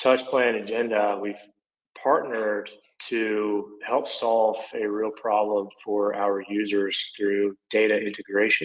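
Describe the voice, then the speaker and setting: A man with an Oklahoma accent speaks at a fairly low pitch. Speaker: product manager, former construction superintendent. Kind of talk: webinar presentation. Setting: online webinar.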